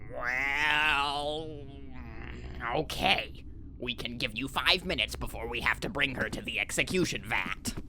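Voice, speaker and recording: Using a put-on character voice, a man speaks at a moderate pace with a fairly high pitch over clear background noise. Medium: audio drama. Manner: muddled, easygoing.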